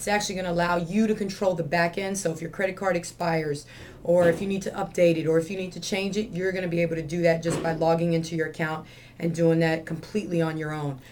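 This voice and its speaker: A woman's fairly low, monotone voice at a very fast pace, with flat intonation and audible room echo. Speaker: gym owner and CrossFit coach. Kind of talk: video announcements to gym members. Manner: casual, with fillers.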